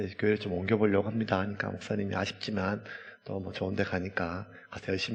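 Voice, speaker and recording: A man's fairly low voice at a very fast pace, fairly even in intonation, amid noticeable background noise. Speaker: pastor. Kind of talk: sermon.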